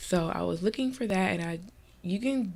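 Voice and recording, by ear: A woman's nasal, slightly mellow voice with vocal fry, at a moderate pace.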